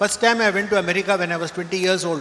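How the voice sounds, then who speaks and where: Over noticeable background noise, a man with a high pitch talks at a very fast pace in a raised, projected voice. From southern India, Karnataka. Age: 70s. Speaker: professor. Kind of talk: speech to graduating students.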